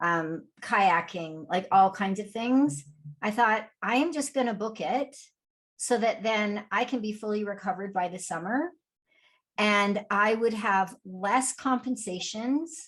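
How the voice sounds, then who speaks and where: Against a quiet background, a woman with a fairly high pitch speaks at a fairly slow pace with lively intonation. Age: 60s. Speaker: podcast co-host, fitness coach. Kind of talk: casual chat. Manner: conversational, hesitant fillers.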